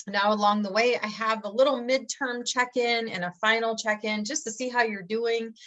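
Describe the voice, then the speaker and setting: A woman with a Michigan accent and a fairly high pitch. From Michigan, US Midwest. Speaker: college English instructor. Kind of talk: course introduction. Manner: casual, many fillers.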